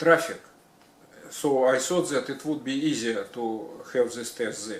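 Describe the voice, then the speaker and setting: Noticeable background noise behind a man with ordinary pitch variation. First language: not English. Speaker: retired electrician. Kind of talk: personal story. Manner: halting, many fillers; slow.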